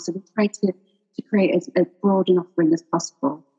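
A woman's medium-pitched, somewhat breathy voice has a dark, mellow tone and a dry, close sound with no echo. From Sheffield, northern England. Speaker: education company executive, former teacher. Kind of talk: radio interview.

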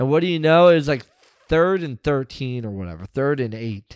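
With a normal speaking voice, a man at medium pitch uses lively intonation in a very clean, dry, close recording with a silent background and no echo. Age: 30s. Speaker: sports podcast co-host. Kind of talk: casual chat.

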